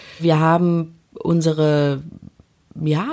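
A woman with a plain, everyday voice, fairly low in pitch, her intonation fairly even. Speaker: interviewee telling couple's story. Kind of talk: personal storytelling.

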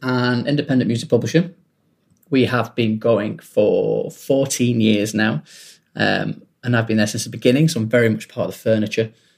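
A man talks at a medium pitch with ordinary pitch variation. His pace is moderate, and it is a normal speaking voice. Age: 30s. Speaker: music publishing executive. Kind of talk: casual interview.

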